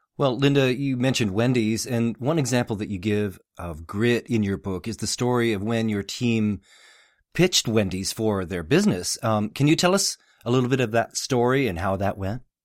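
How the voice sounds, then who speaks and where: An ordinary speaking voice from a man of medium pitch comes with lively intonation and a moderate pace, in a very clean recording with a silent background. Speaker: radio host. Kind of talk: scripted intro and interview questions.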